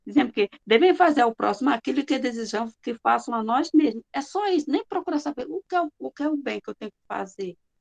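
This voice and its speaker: Dry and close with no echo, a woman's high voice moves at a fairly quick pace. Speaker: spiritist course presenter. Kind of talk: lecture.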